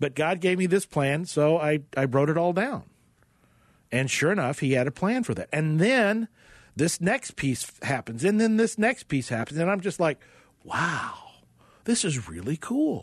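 With an American accent, a man talks at a fairly slow pace in a high voice, his pitch swinging very widely. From Oklahoma (Tulsa). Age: 50s. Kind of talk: radio interview. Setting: studio.

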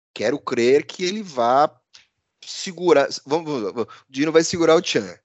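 Loudness swings widely as a man talks at a moderate pace. His intonation is lively. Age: 50s. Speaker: podcast host and business editor. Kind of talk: casual news commentary.

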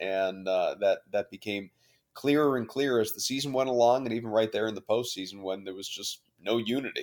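In a normal speaking voice, a man goes at a fairly quick pace with medium pitch and ordinary pitch variation, on a very clean recording with a silent background. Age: 30s. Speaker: sports radio anchor. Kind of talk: casual interview.

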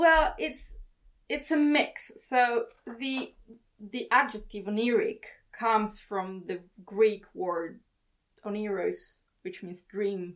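Speaking very slowly with long, frequent pauses, a woman with a fairly high pitch and an Italian accent makes very wide pitch swings and big swings in loudness. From Italy. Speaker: writer. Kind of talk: interview conversation.

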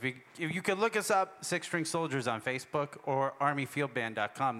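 With an American accent, a man talks at a fairly quick pace in a fairly high, bright, sharp voice with lively intonation. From Worcester, Massachusetts. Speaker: army musician. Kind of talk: workshop conversation on stage. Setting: festival stage with audience.

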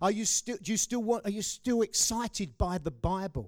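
A man talks at a moderate pace in a dark, mellow tone, on a very clean recording with a silent background and a dry, close sound with no echo. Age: 50s. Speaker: pastor. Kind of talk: sermon.

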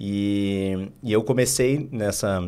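A man with a southern Brazilian accent and a fairly low pitch speaks with ordinary pitch variation amid audible room echo. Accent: southern Brazilian (gaúcho) Portuguese. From Rio Grande do Sul, Porto Alegre. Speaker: investment firm co-founder. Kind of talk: interview.

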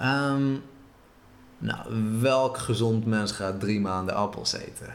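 In a room with audible echo, a man speaks at a very slow pace with long, frequent pauses, using a medium pitch and ordinary pitch variation. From Israel, moved to the Netherlands at eight. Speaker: traveller. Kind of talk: interview.

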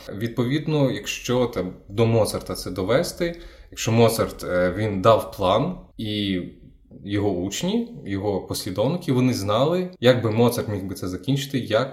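A somewhat breathy man speaks at a fairly slow pace. His intonation is lively. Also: medium pitch for a man. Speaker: radio host and interviewer. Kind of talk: interview.

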